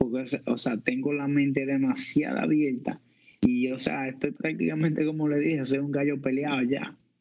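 An unremarkable speaking voice from a man, fairly high in pitch, at a moderate pace with fairly even intonation. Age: 30s. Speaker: podcast co-host. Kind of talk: casual chat.

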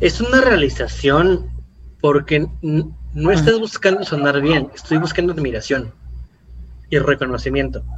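A man at a fairly slow pace, very even in loudness, over noticeable background noise. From Mexico City area. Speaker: marketing podcast host. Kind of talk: casual educational chat.

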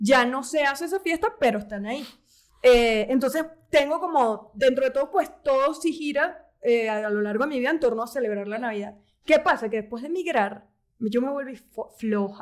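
Her voice is high in pitch with lively intonation. This woman speaks at a moderate pace. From Venezuela, Caracas. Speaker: podcast co-host. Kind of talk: casual chat.

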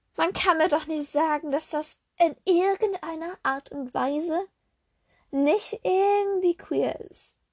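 Extremely high in pitch, a woman speaks at a very slow pace with ordinary pitch variation and big swings in loudness, in a dry, close sound with no echo. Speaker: solo podcaster. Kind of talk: casual monologue, film review. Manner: halting, many fillers.

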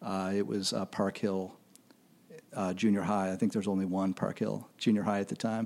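A man talks with a Midwestern American accent. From Kansas City, US Midwest. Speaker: music critic. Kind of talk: casual interview. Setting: studio recording with camera.

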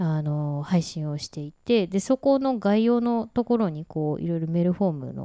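Lively intonation and a relaxed tone on a very clean recording with a silent background. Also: woman, fairly low pitch for a woman. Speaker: podcast co-host. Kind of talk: casual chat. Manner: relaxed, slow-paced.

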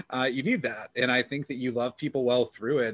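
A man's plain, everyday voice at medium pitch, fairly quick pace and fairly even intonation, in a dry, close sound with no echo. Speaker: podcast host. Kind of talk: casual interview.

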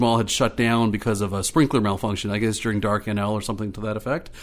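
On a very clean recording with a silent background, a man with an Ontario accent talks at a medium pitch. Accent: Canadian English (Ontario). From Ottawa, Ontario, Canada. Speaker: community organizer. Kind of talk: casual interview.

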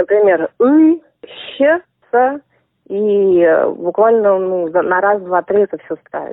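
The delivery is very slow. The intonation is lively. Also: woman. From Russia, Saint Petersburg. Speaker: language teacher. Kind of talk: interview.

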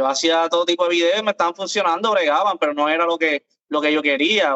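Someone with a Puerto Rican accent talks at a fairly quick pace. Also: man. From Puerto Rico. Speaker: content creator. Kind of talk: casual chat.

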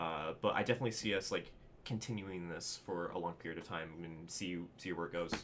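A man with an American accent and a very deep, low pitch talks at a fairly quick pace with ordinary pitch variation. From Southern California. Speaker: video editor. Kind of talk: interview. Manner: halting.

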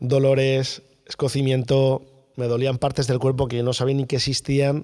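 A man with a central Spanish accent speaks at medium pitch and moderate pace in a dark, mellow tone. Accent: central Peninsular Spanish. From central Spain, Guadalajara. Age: 40s. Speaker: long-distance cycling traveller. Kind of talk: interview storytelling.

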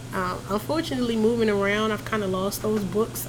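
A woman with an American accent and lively intonation, amid audible room echo and noticeable background noise. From Philadelphia, US. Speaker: podcast guest, mother. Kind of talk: casual chat.

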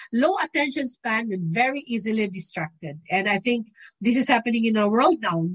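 The intonation is lively and the pace moderate. There's a somewhat breathy quality to the voice. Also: woman. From Philippines. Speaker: doctor with medical background, guest speaker. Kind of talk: lecture.

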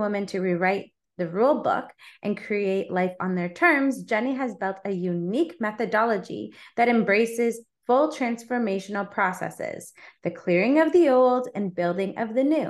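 A woman's ordinary speaking voice, fairly high in pitch, with lively intonation at a moderate pace against a quiet background. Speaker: podcast host and life coach. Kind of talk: casual interview.

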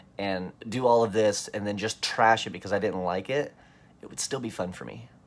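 A man has an ordinary speaking voice, fairly low in pitch, with ordinary pitch variation. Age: 20s. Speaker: magician and podcaster. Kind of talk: casual solo monologue.

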